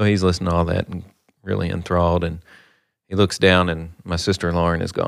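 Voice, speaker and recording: Speech in a Kentucky accent stays flat and monotone. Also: man. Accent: Kentucky Southern. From western Kentucky. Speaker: bank executive. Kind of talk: casual chat. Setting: studio.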